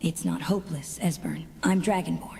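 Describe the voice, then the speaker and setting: A female-sounding, put-on character voice moves at a moderate pace over light background noise. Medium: video game.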